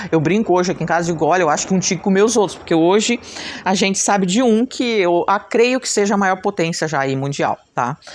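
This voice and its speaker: Speaking very fast, a woman uses a medium pitch and lively intonation. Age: 60s. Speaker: craft teacher and channel host. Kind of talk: casual talk to camera. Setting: at home. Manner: chatty, conversational.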